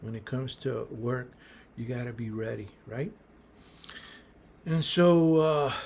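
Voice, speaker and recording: Speaking at a fairly slow pace with long, frequent pauses, a man uses a medium-pitched, somewhat breathy voice with ordinary pitch variation. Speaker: small business advice youtuber. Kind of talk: casual advice monologue. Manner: halting, many fillers.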